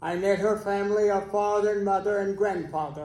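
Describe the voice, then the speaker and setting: Audible room echo surrounds a man with an American accent and a high pitch. He keeps a moderate pace. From Texas. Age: 90s. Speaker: keynote speaker, retired educator. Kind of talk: interview-style testimony on stage. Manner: halting.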